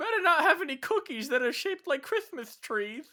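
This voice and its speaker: A man's put-on character voice, extremely high-pitched, grumpy in tone and fairly quick. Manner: cartoonish, grumpy, bossy.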